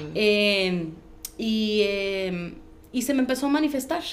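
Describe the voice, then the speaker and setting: A woman with a fairly high voice at a very slow pace, with ordinary pitch variation, very even loudness, and audible room echo. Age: 30s. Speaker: podcast host. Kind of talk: interview. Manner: halting.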